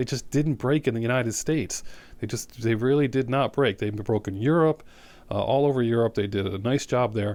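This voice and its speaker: A man speaks at a fairly quick pace with a medium pitch and ordinary pitch variation, recorded very cleanly against a silent background. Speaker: music show host. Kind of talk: casual music commentary. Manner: fast; animated.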